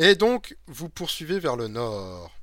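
A man with an eastern French accent speaks with very wide pitch swings on a very clean recording with a silent background. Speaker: game master and podcast host. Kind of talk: reading aloud a gamebook; casual live-stream chat. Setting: live stream with chat.

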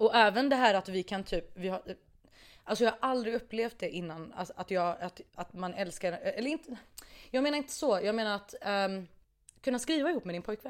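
In a very clean recording with a silent background, a woman with a fairly high voice and lively intonation speaks at a fairly quick pace, leaving long, frequent pauses. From Iraqi family background. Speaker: musician. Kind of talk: casual chat. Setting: studio.

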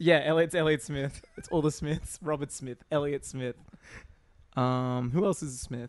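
With an Australian accent, a man speaks at a fairly slow pace and fairly high pitch, keeping his intonation fairly even while his loudness swings widely. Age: 30s. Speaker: podcast co-host. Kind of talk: casual chat.

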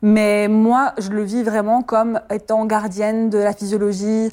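A woman speaks very slowly at a fairly high pitch, her tone dark and mellow. The recording is very clean, with a silent background. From France. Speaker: midwife. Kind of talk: testimony.

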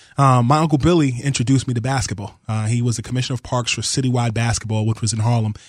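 A man's medium-pitched, somewhat breathy voice, very fast, hardly any pauses, fairly even intonation. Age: 30s. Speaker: basketball reporter. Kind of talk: radio interview.

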